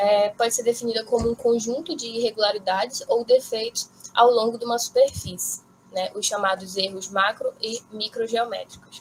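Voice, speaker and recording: Noticeable background noise runs behind a woman speaking at a moderate pace, her fairly high pitch held in fairly even intonation. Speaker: graduate student presenter. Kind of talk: academic conference talk. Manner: halting, many fillers.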